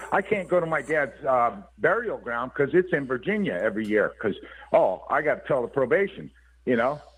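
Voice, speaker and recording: A man speaks at a fairly high pitch and a fairly quick pace. His voice has vocal fry and very wide pitch swings. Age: 60s. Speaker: guest on call-in talk show. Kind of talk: casual chat. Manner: animated.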